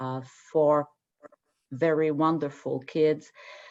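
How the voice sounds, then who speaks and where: With a French accent and a very deep, low pitch, a woman speaks in a monotone, flat way against a quiet background. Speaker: radiologist. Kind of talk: interview. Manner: halting.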